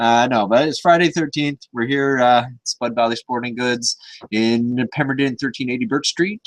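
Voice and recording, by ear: A man talks at a moderate pace with ordinary pitch variation. His voice sits at a medium pitch.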